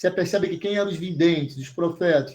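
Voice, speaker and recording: A man with a high pitch and a dark, mellow tone talks at a fairly quick pace with monotone, flat intonation. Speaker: bible teacher. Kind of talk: online bible class. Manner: fast.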